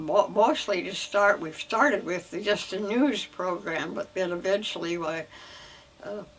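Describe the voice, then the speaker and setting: A woman with an Inland Northwest accent speaks fairly slowly at a medium pitch. Her pitch variation is ordinary, and there is noticeable background noise. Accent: American, Inland Northwest. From Idaho. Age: 80s+. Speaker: retired educator. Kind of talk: interview answer. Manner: slow, hesitant.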